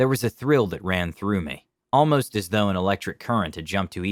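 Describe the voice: A quiet background sits under the recording. What we hear is plain reading aloud.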